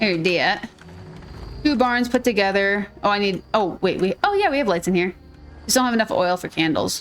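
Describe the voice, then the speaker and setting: At a moderate pace, a woman speaks with a Minnesotan accent and ordinary pitch variation. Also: medium pitch for a woman. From Minnesota, US. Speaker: gaming streamer. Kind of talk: gameplay commentary. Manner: animated.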